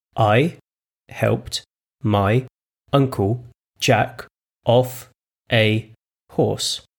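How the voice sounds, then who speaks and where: Putting on a raspy character voice, a man at a medium pitch speaks at a very slow pace with long, frequent pauses. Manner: very slow, deliberate.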